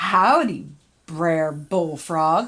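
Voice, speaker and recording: A woman uses a put-on character voice at a fairly low pitch. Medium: read story. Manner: slow, folksy.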